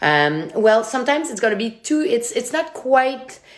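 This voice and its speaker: A woman with a Quebec accent at a moderate pace, very wide pitch swings, and noticeable background noise. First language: French. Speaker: sommelier. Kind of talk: tutorial; casual chat. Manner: animated.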